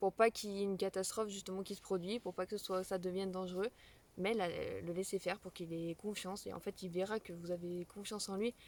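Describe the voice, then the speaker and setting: Speaking very fast at medium pitch, a woman keeps a monotone, flat intonation in a dry, close sound with no echo. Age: 20s. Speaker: parenting vlogger. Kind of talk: casual explainer vlog. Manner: halting, many fillers.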